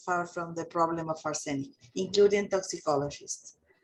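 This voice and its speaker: A woman with a Spanish accent speaks at a fairly slow pace with ordinary pitch variation against a quiet background. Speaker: chemist. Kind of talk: Q&A discussion. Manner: halting.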